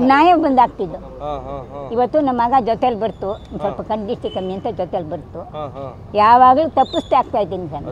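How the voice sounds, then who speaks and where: A woman with a fairly high pitch and very wide pitch swings, in a dry sound with no echo, over light background noise. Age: 80s+. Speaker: voter. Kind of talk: interview answer. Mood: cheerful, proud. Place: street. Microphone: handheld.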